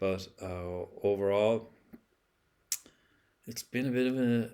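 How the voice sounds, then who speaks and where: A man's dark, mellow voice of medium pitch, in an Irish accent. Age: 60s. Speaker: vlogger. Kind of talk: casual monologue. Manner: halting, many fillers and repeats.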